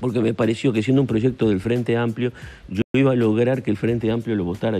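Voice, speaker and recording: Noticeable background noise is present. A man speaks very fast over it. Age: 70s. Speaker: senator. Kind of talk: radio/TV interview. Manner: hesitant, many fillers and repetitions.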